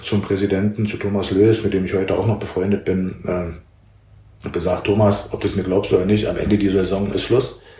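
A man talks at a moderate pace in a fairly low pitch. Room echo is audible around him. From eastern Germany, Halle (Saale). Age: 50s. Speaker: football coach, former pro footballer. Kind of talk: casual interview. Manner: hesitant, with fillers and repetitions.

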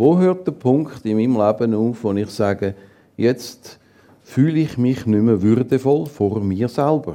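A man speaks at a fairly slow pace. His tone is dark and mellow, with lively intonation. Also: medium pitch for a man. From Zurich, Switzerland. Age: 60s. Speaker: assisted-dying companion, former teacher and psychologist. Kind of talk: interview on stage. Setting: stage with audience.

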